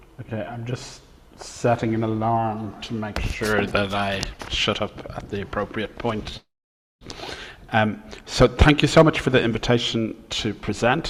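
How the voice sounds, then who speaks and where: With an Irish accent, a man of medium pitch talks at a fairly slow pace with fairly even intonation and long, frequent pauses. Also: big swings in loudness. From Ireland. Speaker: professor. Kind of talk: lecture.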